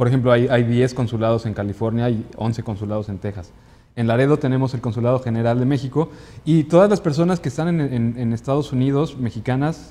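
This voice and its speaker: A man speaks at a very fast pace with a medium pitch. His tone is dark and mellow, with ordinary pitch variation. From Mexico City. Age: 30s. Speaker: consular official; guest. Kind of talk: interview. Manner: halting, frequent repetitions. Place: studio.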